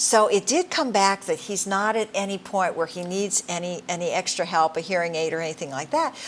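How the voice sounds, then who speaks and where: This woman has a plain, everyday voice, medium in pitch with ordinary pitch variation, moving at a fairly quick pace with hardly any pauses. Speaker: talk show host. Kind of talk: interview on a talk program.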